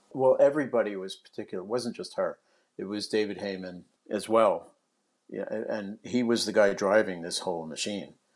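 With an American accent, a man in a normal speaking voice talks at a fairly quick pace and fairly low pitch, with ordinary pitch variation and big swings in loudness. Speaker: former film studio executive. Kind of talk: casual interview. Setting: remote call.

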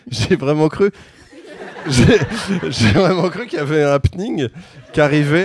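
A man's fairly high, lively voice at a very slow pace, with long, frequent pauses and noticeable background noise. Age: 30s. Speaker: comedian and musician. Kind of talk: casual chat. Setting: stage with audience.

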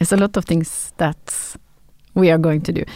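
Fairly quick speech in a Norwegian accent with fairly even intonation. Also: woman. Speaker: podcast host. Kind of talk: interview. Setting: studio.

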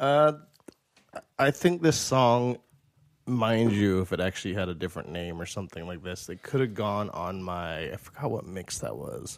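At a moderate pace, a plain, everyday voice speaks with lively intonation and big swings in loudness. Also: man, fairly low pitch for a man. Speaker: podcast co-host. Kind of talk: casual banter.

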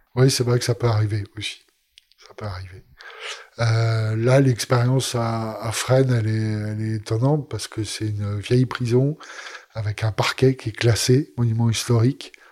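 A man speaks at a medium pitch, somewhat breathy, at a fairly slow pace. His intonation is monotone and flat, while his loudness swings widely. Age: 50s. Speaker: meditation teacher. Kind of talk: interview. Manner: halting.

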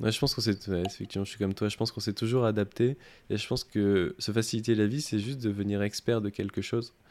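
Fairly low in pitch with fairly even intonation, a man talks at a very fast pace. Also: very clean recording, silent background. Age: 20s. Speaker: podcast host, UX/UI design apprentice. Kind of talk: interview. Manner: hesitant, many fillers.

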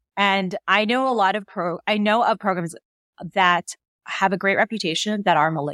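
A woman with an American accent speaks at medium pitch in a bright, sharp tone. The sound is dry and close, with no echo. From New Jersey, US. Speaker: anesthesiologist and podcaster. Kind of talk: casual interview.

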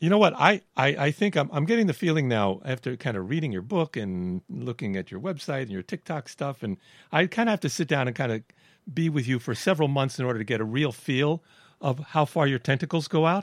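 Recorded very cleanly against a silent background, a man with an American accent talks at a fairly quick pace in a fairly high pitch with very wide pitch swings. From Brooklyn, New York. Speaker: podcast host. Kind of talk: interview conversation.

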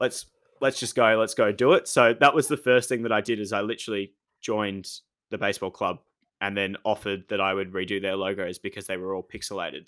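A man has a normal speaking voice, pitched fairly low with ordinary pitch variation, at a fairly quick pace. The recording is very clean, with a silent background. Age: 20s. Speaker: sports administrator and masters student. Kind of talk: interview.

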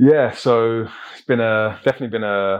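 A man with an unremarkable speaking voice, fairly low in pitch, at a moderate pace. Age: 30s. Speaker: plant-based nutrition influencer. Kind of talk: casual interview. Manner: calm, measured.

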